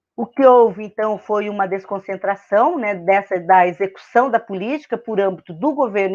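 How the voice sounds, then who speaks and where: At a moderate pace and with hardly any pauses, a woman speaks at medium pitch with ordinary pitch variation over a quiet background. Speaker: university professor. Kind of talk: lecture. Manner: hesitant, many filler words.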